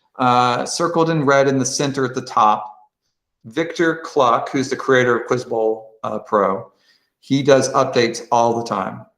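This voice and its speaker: Moderate pace from a man at a medium pitch, ordinary pitch variation, audible room echo, and a quiet background. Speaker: quiz bowl coach and trainer; presenter training coaches. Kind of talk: tutorial. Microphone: video call.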